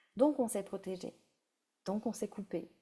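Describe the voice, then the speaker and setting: A woman speaks with a dark, mellow tone. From France. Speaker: breathwork facilitator. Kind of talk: guided breathwork session. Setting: live stream. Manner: halting.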